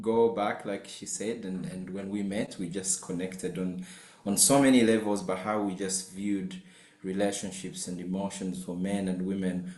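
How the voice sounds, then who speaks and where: Audible room echo surrounds a man with a very deep, low pitch who speaks at a moderate pace with ordinary pitch variation. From Uganda. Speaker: marriage and family therapist, professor. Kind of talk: webinar self-introduction. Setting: video call webinar.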